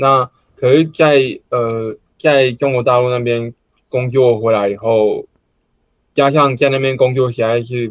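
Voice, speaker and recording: A man with a medium pitch speaks fairly slowly in a monotone, flat intonation, leaving long, frequent pauses. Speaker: amateur stand-up comedian. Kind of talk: casual chat.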